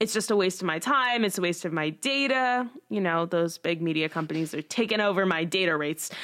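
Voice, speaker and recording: Against a quiet background, a woman talks at a fairly quick pace with hardly any pauses, using a plain, everyday voice with lively intonation. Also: medium pitch for a woman. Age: 20s. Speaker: student podcast host. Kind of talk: casual chat.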